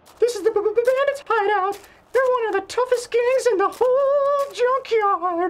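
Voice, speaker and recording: This put-on character voice is squeaky and extremely high-pitched. It moves at a moderate pace. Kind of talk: scripted comedic narration to camera. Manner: stuttering, nervous.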